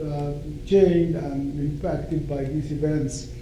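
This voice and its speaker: Over noticeable background noise and audible room echo, a man with a Sudanese accent speaks fairly slowly in a fairly high pitch with fairly even intonation. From Sudan (northern). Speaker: law professor. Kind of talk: lecture. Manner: hesitant with fillers.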